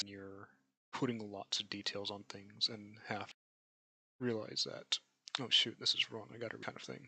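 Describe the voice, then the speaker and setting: A soft-spoken man talks at a moderate pace. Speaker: amateur artist streaming a drawing demonstration. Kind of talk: live stream tutorial. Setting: live stream with voice chat.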